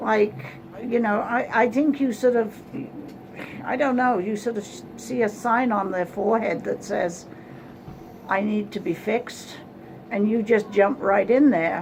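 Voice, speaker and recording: A woman's fairly high voice at a fairly slow pace, ordinary in pitch variation, with long, frequent pauses and noticeable background noise. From England. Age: 70s. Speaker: psychic reader. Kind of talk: psychic reading session. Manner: blunt, direct.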